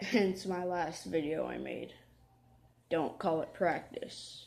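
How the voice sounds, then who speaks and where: Soft-spoken, a woman speaks at a very slow pace. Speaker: gaming youtuber. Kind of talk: gameplay commentary. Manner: halting.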